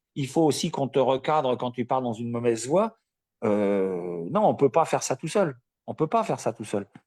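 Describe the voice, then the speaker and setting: A man's plain, everyday voice with lively intonation at a moderate pace, on a very clean recording with a silent background and a dry, close sound with no echo. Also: medium pitch for a man. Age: 60s. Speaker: coaching client, retiree. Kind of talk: live interview.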